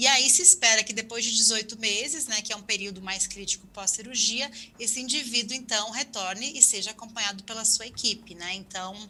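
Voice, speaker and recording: A woman talks at a fairly quick pace with hardly any pauses in a fairly high voice with ordinary pitch variation, over noticeable background noise. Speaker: health ministry official. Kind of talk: webinar panel answer.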